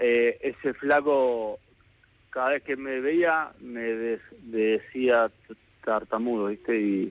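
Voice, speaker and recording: A man with medium pitch speaks at a very slow pace and fairly even intonation. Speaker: government minister. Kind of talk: radio phone interview answer. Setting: phone line.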